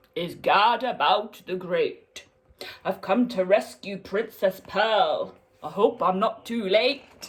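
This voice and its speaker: The speaker uses a put-on character voice. Its pitch is fairly high. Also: fairly slow pace. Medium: read story.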